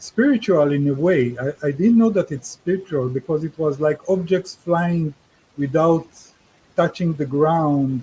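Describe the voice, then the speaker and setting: With ordinary pitch variation, the tone sounds dark and mellow. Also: man. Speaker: UFO experiencer and author. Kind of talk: interview. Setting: radio show call. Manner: slow; halting.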